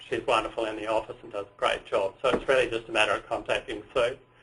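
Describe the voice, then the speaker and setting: Here a man speaks with an Australian accent. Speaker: tour operator. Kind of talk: webinar presentation. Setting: webinar.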